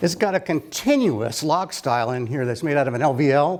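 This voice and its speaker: Very wide pitch swings from a man, set against noticeable background noise. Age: 70s. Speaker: carpenter. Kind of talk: tutorial. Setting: workshop. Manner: casual, thinking aloud.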